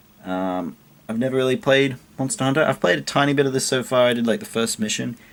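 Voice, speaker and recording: Over light background noise, a man speaks quietly. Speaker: video game collector YouTuber. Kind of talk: casual show-and-tell vlog. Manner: quiet, keeping voice down. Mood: pleased, relaxed. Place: home room. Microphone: webcam.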